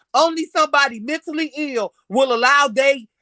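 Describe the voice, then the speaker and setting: A high-pitched woman with an American accent projects a raised, animated voice in a bright, sharp tone, with ordinary pitch variation and a dry, close sound with no echo. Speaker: podcast host. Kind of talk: heated discussion. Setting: live stream. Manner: loud.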